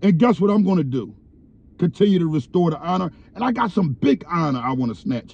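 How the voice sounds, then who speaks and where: A man speaks in a dark, mellow tone. The sound is dry with no echo. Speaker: commentator. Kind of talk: commentary. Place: car. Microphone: phone near.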